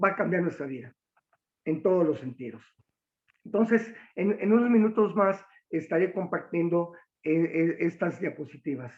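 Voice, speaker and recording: Long, frequent pauses break up a man's speech at a moderate pace. His pitch is high and his intonation lively. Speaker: military officer and lecturer. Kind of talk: lecture. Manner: halting, many fillers.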